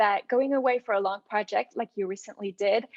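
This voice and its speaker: A woman with a French accent, fairly high pitch, ordinary pitch variation and a moderate pace. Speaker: podcast host. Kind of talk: interview conversation.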